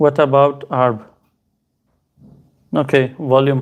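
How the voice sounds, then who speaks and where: A man talks with a non-native accent. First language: not Hindi. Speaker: crypto streamer. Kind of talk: live stream Q&A. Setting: live stream on two platforms. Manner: casual, halting with fillers.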